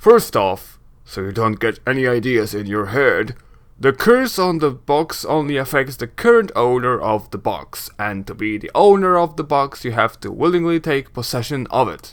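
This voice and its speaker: A put-on character voice speaks at a moderate pace with lively intonation. Its loudness swings widely. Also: man, medium pitch for a man. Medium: game stream. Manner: brash, gruff.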